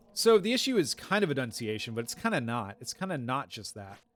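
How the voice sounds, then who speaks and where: Over music in the background, a man speaks at a moderate pace with a medium pitch and very wide pitch swings. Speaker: game streamer. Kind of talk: casual live-stream chat. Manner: mumbled, not well enunciated.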